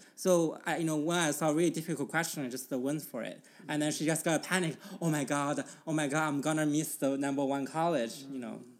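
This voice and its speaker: Someone with a Mandarin accent talks at a very fast pace. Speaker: podcast host. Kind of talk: casual conversational chat.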